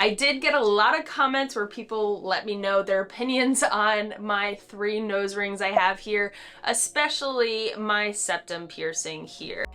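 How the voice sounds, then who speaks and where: A woman with a Southern accent, fairly high pitch, a bright, sharp tone, ordinary pitch variation, a fairly slow pace and hardly any pauses. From North Carolina. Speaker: hiking vlogger. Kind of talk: casual talk to camera.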